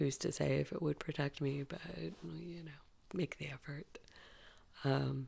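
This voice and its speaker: A quiet woman's voice at a moderate pace, with long, frequent pauses and big swings in loudness. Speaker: vlogger. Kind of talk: casual vlog monologue. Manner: quiet, talking low.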